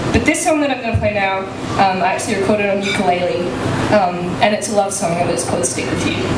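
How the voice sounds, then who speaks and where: Very fast speech over loud background noise. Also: woman. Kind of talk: stage banter between songs. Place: cafe. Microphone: camera far.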